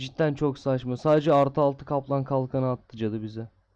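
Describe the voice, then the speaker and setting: A voice with a dark, mellow tone speaks at a moderate pace in a monotone with flat intonation. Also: man. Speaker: gaming YouTuber. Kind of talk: gameplay commentary. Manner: casual, chatty.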